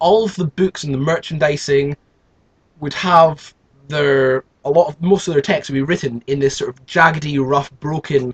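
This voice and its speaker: This voice has a British accent and ordinary pitch variation. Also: man, fairly high pitch for a man, moderate pace. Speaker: youtuber. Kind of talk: casual monologue. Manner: halting, many repetitions.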